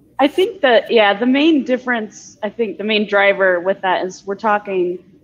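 A woman speaks in a plain, everyday voice at a fairly high pitch, with light background noise. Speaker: distilling consultant; podcast co-host. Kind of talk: casual chat. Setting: video call. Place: home room. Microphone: video call.

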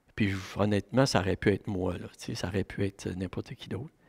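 A man talks at a middling speed in a quiet setting. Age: 60s. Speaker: pastor. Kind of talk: sermon. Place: church. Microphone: headset.

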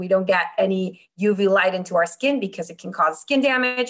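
A woman speaks in a Spanish accent. Her pitch variation is ordinary. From Mexico. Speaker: optical engineer. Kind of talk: interview.

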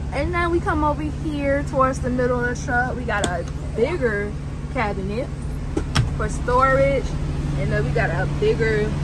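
Loud background noise surrounds a dry sound with no echo as the speaker moves at a moderate pace with long, frequent pauses. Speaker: truck driver vlogger. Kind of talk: casual vlog tour. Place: car. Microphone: phone near.

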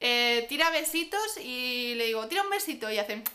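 A woman's high-pitched voice with a bright, sharp tone. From Spain. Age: 20s. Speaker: parenting vlogger. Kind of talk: vlog monologue. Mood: warm, enthusiastic. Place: home room. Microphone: camera far.

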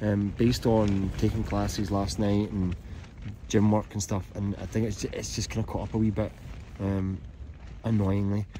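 A man talks at a moderate pace, with fairly low pitch and little pitch movement. His tone is dark and mellow.

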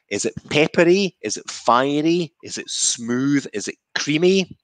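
A man with a Scottish accent speaks in a fairly high pitch for a man, his intonation lively, against a quiet background. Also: dry sound with no echo. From Scotland. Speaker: whisky maker. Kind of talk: guided whisky tasting. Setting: video call. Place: home room. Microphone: headset.

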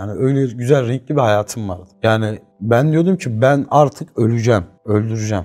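A man's medium-pitched, dark and mellow voice with ordinary pitch variation at a moderate pace. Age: 20s. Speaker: former drug addict in recovery. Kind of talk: personal testimony.

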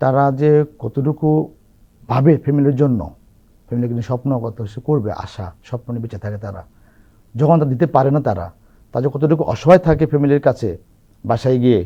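A man's somewhat breathy voice with a dark, mellow tone, medium pitch, ordinary pitch variation and big swings in loudness. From Bangladesh, Chandpur district. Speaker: opposition political activist. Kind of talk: testimony.

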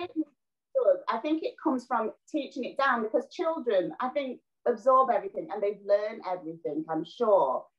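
A woman with a Yorkshire accent at a moderate pace, with very wide pitch swings, against a quiet background. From northern England, South Yorkshire (Doncaster); northern England. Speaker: actress and TV presenter; actress, TV presenter. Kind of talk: casual interview. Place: home room. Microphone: video call.

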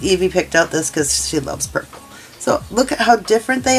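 The intonation is lively. A woman talks at a moderate pace. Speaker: crochet instructor. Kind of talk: tutorial. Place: home room.

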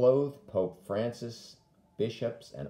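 A man talks at a fairly slow pace with lively intonation. His dark, mellow tone carries audible room echo. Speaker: deacon leading prayer. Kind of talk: led morning prayer, with fervent intercessory prayer near 9:30. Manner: solemn, earnest, measured; devout, pleading intensity in petitions. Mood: calm, reverent. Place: home room. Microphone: phone near.

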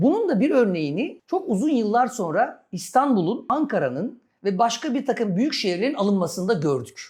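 Against a quiet background, a man with a high pitch and very wide pitch swings talks at a moderate pace with hardly any pauses. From Istanbul, Turkey. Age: 40s. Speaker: lawyer and local election candidate. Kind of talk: interview.

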